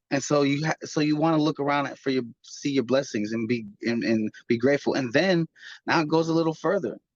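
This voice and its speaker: With an ordinary speaking voice, a man talks at a fairly quick pace with ordinary pitch variation, in a dry, close sound with no echo. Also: fairly high pitch for a man. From Chicago, US Midwest. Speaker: author and recording artist. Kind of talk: interview. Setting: video call.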